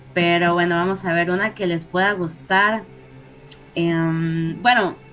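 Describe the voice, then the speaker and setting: Fairly slow speech over music in the background. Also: woman. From Costa Rica. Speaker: paranormal guest. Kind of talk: storytelling.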